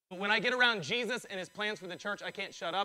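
In a raised, projected voice, a man speaks at a very fast pace with a high pitch, ordinary pitch variation, and a bright, sharp, animated tone. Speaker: pastor. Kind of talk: sermon. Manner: loud.

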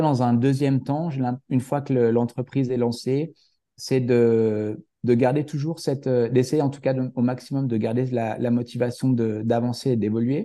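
A man speaks at a fairly slow pace with fairly even intonation and a dark, mellow tone. The background is quiet. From France, Haute-Savoie. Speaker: fitness coach, entrepreneur. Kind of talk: interview. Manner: halting, many fillers and restarts.

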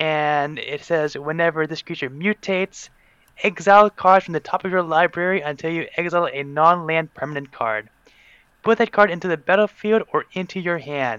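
In an American accent, the speaker has a bright, sharp tone, a moderate pace and ordinary pitch variation, recorded with a dry, close sound, no echo and a quiet background. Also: man, high pitch for a man. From Pennsylvania, USA. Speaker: podcast guest, card game player. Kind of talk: casual chat.

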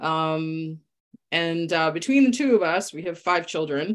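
Her pace is moderate and her pitch varies in an ordinary way. This woman has an ordinary speaking voice. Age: 40s. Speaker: former nurse turned health coach. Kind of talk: casual chat.

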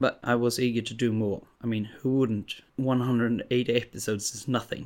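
A man with a Swedish accent speaks at a moderate pace and medium pitch. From Sweden. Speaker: podcast host. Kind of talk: casual monologue.

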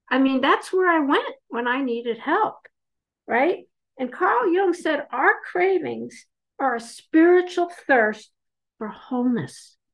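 With very wide pitch swings, the speech unfolds at a very slow pace. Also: woman, high pitch for a woman. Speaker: twelve-step meeting speaker. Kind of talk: recovery talk / testimony. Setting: video call. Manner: animated.

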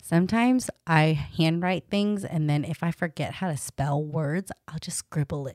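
A woman with a fairly low pitch speaks at a moderate pace with ordinary pitch variation and hardly any pauses, in a plain, everyday voice. The sound is dry and close, with no echo. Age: 30s. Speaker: dietitian and podcast host. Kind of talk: casual chat.

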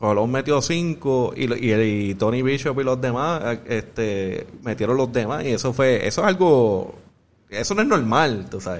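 At a fairly slow pace, a man speaks in a normal speaking voice of medium pitch with lively intonation. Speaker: podcast host. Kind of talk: casual chat.

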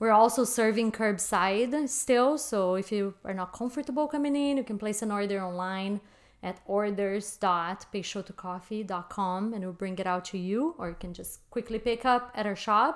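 A woman with a Portuguese accent and a medium pitch talks at a moderate pace with hardly any pauses, on a very clean recording with a silent background. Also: ordinary pitch variation. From Brazil. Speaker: coffee shop owner. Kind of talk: interview.

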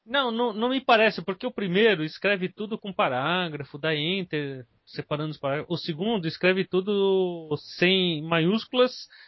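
This man's voice sits high in pitch, with lively intonation. He keeps a moderate pace. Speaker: podcast host. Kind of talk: casual chat.

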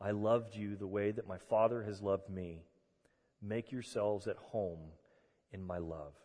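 A man's fairly low, dark, mellow and warm voice with fairly even intonation and long, frequent pauses. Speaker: pastor. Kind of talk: sermon; guided meditation. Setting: church. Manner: calm, slow, soothing; warm, conversational.

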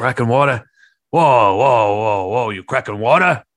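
A man puts on a raspy character voice with a New York accent, medium in pitch and fairly slow in pace. The recording is very clean, with a silent background. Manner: confrontational, mocking.

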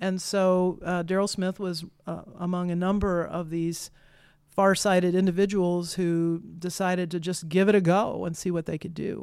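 Heard in a very clean recording with a silent background, the speaker has an American accent, a moderate pace and monotone, flat intonation. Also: woman, fairly low pitch for a woman. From Kansas. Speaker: director of a prairie research center. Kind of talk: casual interview.

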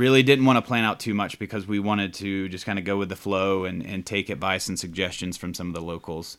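A man with an American accent has a fairly low pitch and a bright, sharp tone. The recording is very clean, the background silent. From US South, Georgia (Atlanta). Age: 30s. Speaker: podcast guest. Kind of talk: casual chat.

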